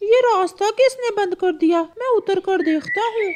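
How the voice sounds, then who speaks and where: At a moderate pace, a woman puts on a cartoonish character voice at an extremely high pitch. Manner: earnest, upright.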